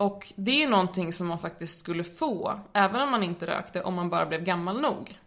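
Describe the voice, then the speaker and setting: Over noticeable background noise, a woman at medium pitch talks at a moderate pace with lively intonation and hardly any pauses. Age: 20s. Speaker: medical student and drug education lecturer. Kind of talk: informative interview.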